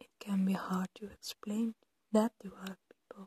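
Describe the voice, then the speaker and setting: Soft-spoken and gentle in tone, the voice keeps a fairly slow pace. The sound is dry with no echo, and the background is quiet. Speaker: ASMR creator. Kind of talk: ASMR supportive soft-spoken talk to camera. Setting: poor audio quality, home recording. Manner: soft-spoken, gentle, comforting. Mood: gentle, comforting.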